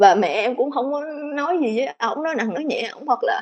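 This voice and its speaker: A woman talks with a high pitch. Her pace is fairly quick. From Mekong Delta, southern Vietnam. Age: 20s. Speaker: guest sharing personal story. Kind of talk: testimony.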